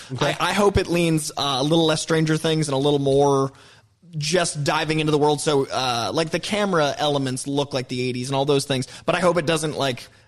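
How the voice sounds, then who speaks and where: A man talks at a fairly quick pace in an unremarkable speaking voice. His pitch is fairly high, and his intonation fairly even. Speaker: film panelist. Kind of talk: casual chat.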